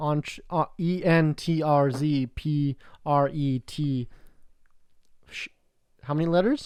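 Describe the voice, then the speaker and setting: A man with a Canadian accent, fairly high in pitch, fairly even in intonation, at a very slow pace with long, frequent pauses. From Canada. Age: young. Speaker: podcast host, entrepreneur. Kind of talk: casual chat.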